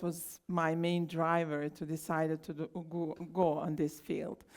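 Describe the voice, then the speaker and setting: A woman with a Bosnian accent speaks in a fairly low voice with fairly even intonation. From Bosnia and Herzegovina, Trebinje. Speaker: scientist. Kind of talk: conference talk. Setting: stage with audience.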